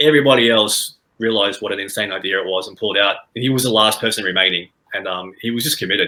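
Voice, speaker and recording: A man with a fairly low pitch and a bright, sharp tone speaks at a very fast pace. His pitch variation is ordinary. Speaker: volunteer helping ex-Muslims. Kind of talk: podcast interview.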